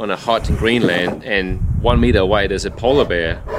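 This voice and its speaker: With a Danish accent, the speaker keeps a moderate pace and ordinary pitch variation. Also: man. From Denmark. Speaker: resilience coach, ex-soldier. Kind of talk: casual interview chat.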